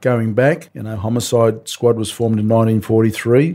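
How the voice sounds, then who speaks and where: Heard in a very clean recording with a silent background, a man speaks at a fairly quick pace and medium pitch in a dark, mellow tone with ordinary pitch variation. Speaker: retired detective. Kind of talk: interview.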